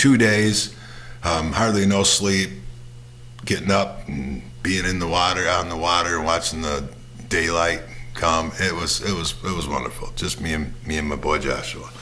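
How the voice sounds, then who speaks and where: A man's very deep, low voice at a moderate pace with ordinary pitch variation, audible room echo and noticeable background noise. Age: 60s. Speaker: podcast host. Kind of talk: casual monologue. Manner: halting, many fillers and repeats.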